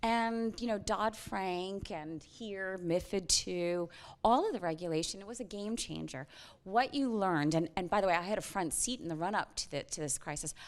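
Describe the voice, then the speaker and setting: A woman with an American accent uses an ordinary speaking voice at medium pitch and a moderate pace, with ordinary pitch variation, on a very clean recording with a silent background. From US, New York. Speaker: finance executive and whistle-blower. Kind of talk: panel interview. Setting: conference stage with audience.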